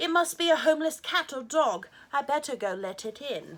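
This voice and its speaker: Using a put-on character voice, the woman speaks at a high pitch. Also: moderate pace. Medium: read story. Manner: prim, motherly and firm.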